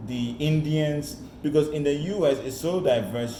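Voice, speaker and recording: With an American accent and lively intonation, a man speaks amid noticeable background noise and audible room echo. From Ghana. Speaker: career mentor. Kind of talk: online presentation. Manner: animated.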